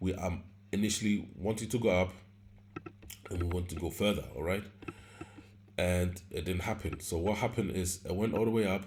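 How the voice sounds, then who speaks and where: With a non-native accent and a very deep, low pitch, a man talks at a fairly quick pace broken by long, frequent pauses, his intonation fairly even over audible room echo. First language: not English. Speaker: forex trading teacher. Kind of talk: tutorial. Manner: halting, with many fillers and self-corrections; casual.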